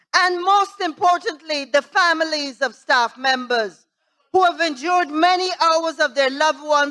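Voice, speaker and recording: A raised, projected voice with a bright, sharp tone speaks at a fairly slow pace with ordinary pitch variation. The recording is very clean, with a silent background. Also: woman. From Guyana. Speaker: member of parliament. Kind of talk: parliamentary budget debate speech. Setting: parliament chamber. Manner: formal.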